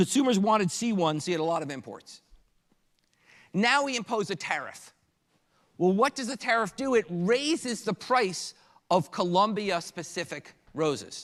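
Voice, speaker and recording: On a very clean recording with a silent background, a man with a high pitch talks with lively intonation and long, frequent pauses. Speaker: economics lecturer. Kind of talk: lecture. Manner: fast.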